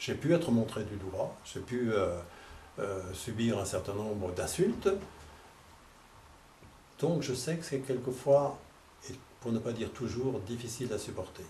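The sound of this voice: A man's fairly low, dark and mellow voice with ordinary pitch variation, a fairly slow pace, long and frequent pauses, and audible room echo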